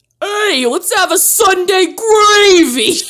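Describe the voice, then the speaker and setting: A put-on character voice at a very slow pace. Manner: put-on impression.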